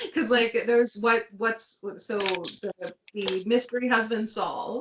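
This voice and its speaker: A woman with an unremarkable speaking voice and a medium pitch talks at a fairly slow pace. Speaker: author on book discussion panel. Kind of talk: casual chat.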